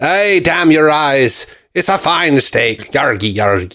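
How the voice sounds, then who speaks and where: Using a raspy, put-on character voice, a man speaks at a fairly high pitch and a fairly slow pace on a very clean recording with a silent background. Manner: mock-pirate.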